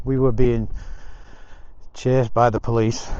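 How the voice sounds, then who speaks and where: A man's dark, mellow voice with an English accent, at a moderate pace with ordinary pitch variation and audible room echo. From England. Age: 60s. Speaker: motorcycle vlogger. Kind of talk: casual vlog monologue. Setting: outdoors walking.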